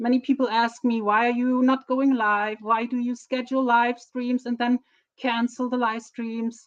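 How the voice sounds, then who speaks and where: At a moderate pace, a woman with a German accent and a high pitch speaks in a monotone, flat way, the sound dry and close with no echo. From Germany. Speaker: streamer. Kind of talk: casual live stream talk. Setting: live stream on camera. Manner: halting.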